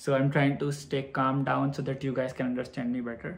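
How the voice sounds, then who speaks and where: Somewhat breathy, a man talks at a moderate pace. His pitch is fairly high. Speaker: vlogger. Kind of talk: storytelling vlog.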